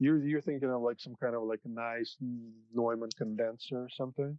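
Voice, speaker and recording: An American accent marks this man's plain, everyday voice, which has a medium pitch, a moderate pace, and fairly even intonation. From Soviet Union, then US. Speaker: music sound engineer. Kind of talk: casual interview chat.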